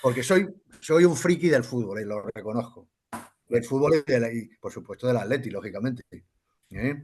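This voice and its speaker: A man at a medium pitch and moderate pace, lively in intonation, with long, frequent pauses. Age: 60s. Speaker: football club member. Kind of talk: casual interview chat. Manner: animated.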